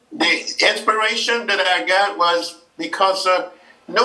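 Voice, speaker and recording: Noticeable noise sits in the background as the man talks. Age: 80s+. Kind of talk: interview. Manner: halting.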